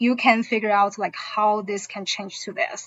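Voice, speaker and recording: A woman with a Chinese accent. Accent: Mandarin Chinese. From mainland China. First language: Mandarin Chinese. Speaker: Chinese language teacher. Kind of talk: informational presentation. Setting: online session.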